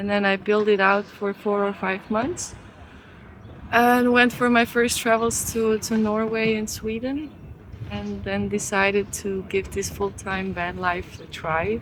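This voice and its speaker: This woman speaks at a fairly slow pace. Noticeable noise sits in the background. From Switzerland. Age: 20s. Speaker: van dweller interviewee. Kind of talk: casual interview and van tour.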